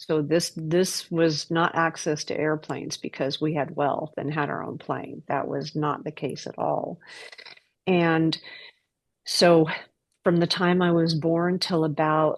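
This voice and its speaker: A woman with an American accent speaks at a very deep, low pitch and a fairly slow pace. Her intonation is monotone and flat against a quiet background. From United States. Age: 60s. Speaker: trafficking survivor sharing testimony. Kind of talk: testimony. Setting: podcast interview.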